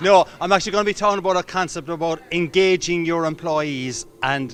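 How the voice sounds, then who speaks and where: With an Irish accent, a man talks at a fairly quick pace and a fairly high pitch. Music sounds in the background. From Ireland, Cork. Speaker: motivational speaker. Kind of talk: interview answer.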